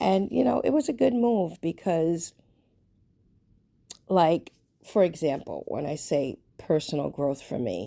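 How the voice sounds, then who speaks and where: A woman with a New York accent speaks very slowly in a very deep, low pitch. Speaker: lifestyle vlogger. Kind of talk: casual personal vlog monologue. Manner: conversational, filler-heavy.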